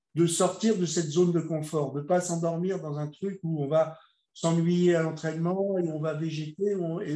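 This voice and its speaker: This man's voice sits at a fairly high pitch with a dark, mellow tone. He talks at a moderate pace with fairly even intonation. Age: 60s. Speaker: bodybuilder. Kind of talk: casual chat. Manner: halting.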